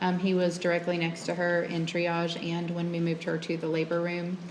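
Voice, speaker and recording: Amid noticeable background noise and audible room echo, a woman with a fairly low pitch speaks quietly at a moderate pace. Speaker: nurse, trial witness. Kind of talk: testimony. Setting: courtroom. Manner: quiet, hard to hear; hesitant, many ums.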